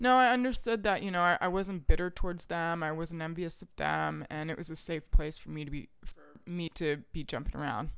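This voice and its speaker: A woman with a normal speaking voice and an American accent speaks at a fairly low pitch with ordinary pitch variation, hardly any pauses and big swings in loudness. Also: fairly quick pace. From US South, Richmond, Virginia. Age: 30s. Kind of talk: casual chat.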